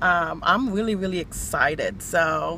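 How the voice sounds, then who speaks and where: Heard over noticeable background noise in a dry sound with no echo, a woman speaks with fairly even intonation. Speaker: vlogger. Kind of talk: casual vlog chat. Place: car. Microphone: phone near.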